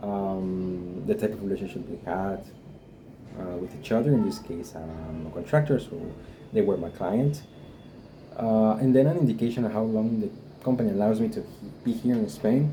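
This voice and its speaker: Someone with a Guatemalan accent speaks at a moderate pace with lively intonation and big swings in loudness, against audible room echo and noticeable background noise. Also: man, fairly low pitch for a man. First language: Spanish. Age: 20s. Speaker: vlogger. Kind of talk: personal experience vlog. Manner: halting, many fillers.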